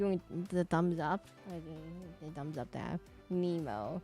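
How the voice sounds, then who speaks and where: Music plays in the background. A woman with a fairly low pitch speaks at a very slow pace. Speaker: streamer drawing live requests. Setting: live stream, drawing while reading chat.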